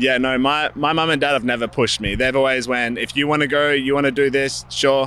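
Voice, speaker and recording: A man's medium-pitched voice in an Australian accent, bright and sharp in tone, monotone and flat, at a fairly quick pace. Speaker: professional BMX racer. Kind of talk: interview.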